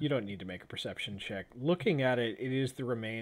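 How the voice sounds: It's a natural reading voice with ordinary pitch variation.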